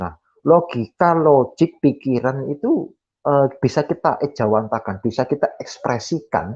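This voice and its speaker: A man speaks with a Javanese accent at a fairly slow pace. His fairly high voice carries lively intonation. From Java, Indonesia. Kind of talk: Q&A explanation in online discussion. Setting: online video meeting, camera off. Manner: hesitant, with many fillers.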